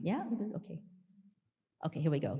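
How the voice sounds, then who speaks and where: A loud woman speaks with very wide pitch swings. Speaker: clinical researcher giving a conference talk. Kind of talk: scientific conference presentation.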